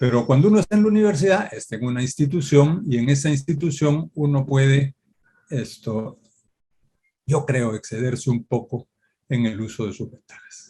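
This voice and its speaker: With a dark, mellow tone, a man speaks at a moderate pace in a fairly high, somewhat breathy voice with lively intonation and big swings in loudness. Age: 70s. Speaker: law professor. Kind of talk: Q&A at academic event. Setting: academic event.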